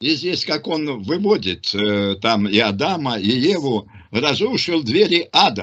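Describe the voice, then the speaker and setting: Over a quiet background, a man speaks at a very slow pace with very wide pitch swings. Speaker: religious teacher answering questions. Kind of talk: religious discussion. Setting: online group call. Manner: halting, many fillers. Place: home room. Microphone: video call.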